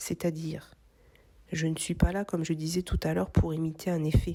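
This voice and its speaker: In a calm tone, a woman talks at a fairly slow pace. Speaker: craft content creator. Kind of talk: reflective voice-over narration.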